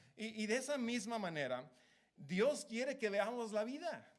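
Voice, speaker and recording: There is audible room echo around a man's voice. He talks at a moderate pace. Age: 30s. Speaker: preacher. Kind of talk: sermon. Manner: halting.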